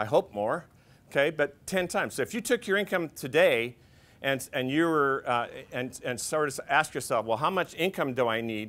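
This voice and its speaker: A man with an unremarkable speaking voice talks at a moderate pace in a fairly high pitch, his intonation lively, on a very clean recording with a silent background. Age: 60s. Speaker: financial advisor. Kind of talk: workshop presentation. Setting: seminar room with audience. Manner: conversational, with filler words.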